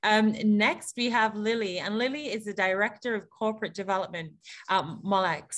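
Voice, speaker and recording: A woman's animated, medium-pitched voice with an English accent. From England. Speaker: panel moderator. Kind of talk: panel moderation on video call. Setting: video call.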